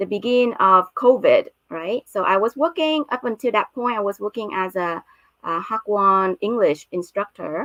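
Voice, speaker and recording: Speaking fairly slowly with an American accent, a woman uses lively intonation at a medium pitch, in a dry, close sound with no echo. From Vietnam-born, grew up in the US. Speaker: startup founder and CEO. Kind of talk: live stream presentation. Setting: live stream. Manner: frequent filler hesitations.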